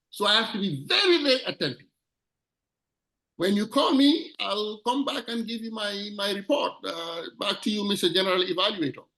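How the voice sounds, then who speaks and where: A man's raised, projected voice, high-pitched and bright and sharp in tone, with lively intonation at a moderate pace. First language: not English. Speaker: club member, grammarian. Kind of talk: meeting role introduction.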